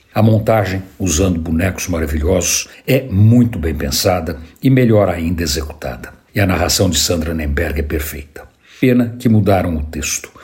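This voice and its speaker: A man speaks with a very deep, low pitch and lively intonation. His pace is moderate. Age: old. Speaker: radio columnist. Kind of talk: scripted narration.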